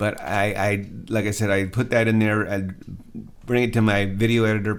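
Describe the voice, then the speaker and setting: Moderate pace from a man with a fairly low voice. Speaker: media entrepreneur and content creator. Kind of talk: screen-share tutorial. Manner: halting; casual.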